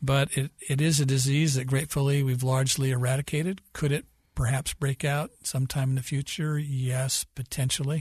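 Somewhat breathy and flat in a monotone, a man's medium-pitched voice comes through dry and close with no echo against a quiet background. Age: 60s. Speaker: historian. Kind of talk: interview.

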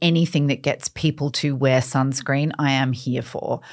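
A woman's voice is heard. The recording is very clean, with a silent background. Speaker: beauty author and expert. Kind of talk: interview, casual skin-care advice.

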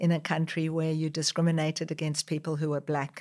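In a very clean recording with a silent background, a woman speaks with a very deep, low voice. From South Africa. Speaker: social entrepreneur. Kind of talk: interview.

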